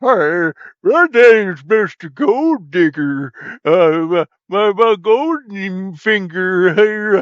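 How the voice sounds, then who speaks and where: At a very slow pace, someone performs a put-on character voice. The pitch stays middle. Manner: goofy and playful.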